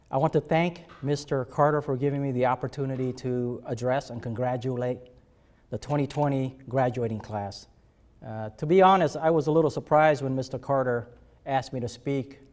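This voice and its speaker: A man at a medium pitch, with ordinary pitch variation and a moderate pace. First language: not English. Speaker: army general, commencement speaker. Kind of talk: commencement speech. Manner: hesitant with frequent fillers.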